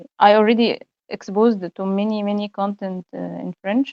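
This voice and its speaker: Her voice sits at a medium pitch and has a dark, mellow tone. The sound is dry and close, with no echo. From Egypt. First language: Egyptian Arabic (speaking French). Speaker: university student, language learner. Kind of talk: interview. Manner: halting, many hesitations and repetitions; switches between French and English.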